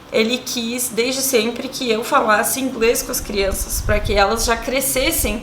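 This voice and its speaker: A high-pitched woman at a fairly slow pace, with audible room echo and noticeable background noise. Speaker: family vlogger. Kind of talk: casual talk to camera. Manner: hesitant, many fillers.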